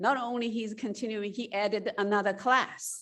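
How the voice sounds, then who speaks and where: Someone speaks at a fairly slow pace with a Chinese accent. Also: woman. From China. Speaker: college president. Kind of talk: public speech.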